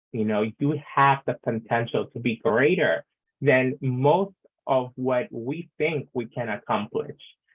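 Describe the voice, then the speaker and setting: A man speaks in a normal speaking voice at a medium pitch. His pitch varies in an ordinary way. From Latin American heritage. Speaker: panelist. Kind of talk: online panel discussion.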